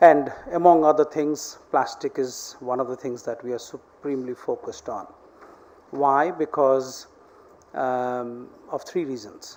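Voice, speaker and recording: Fairly even intonation carries the speech along at a moderate pace. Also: man. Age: 60s. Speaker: keynote speaker, head of a global organization. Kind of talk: conference speech. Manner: halting, many fillers and repeats.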